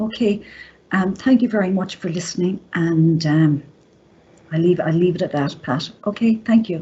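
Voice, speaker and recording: Somewhat breathy, a woman with an Irish accent speaks at a fairly low pitch with ordinary pitch variation. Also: moderate pace. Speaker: college staff presenter. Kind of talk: presentation. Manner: gasping for breath.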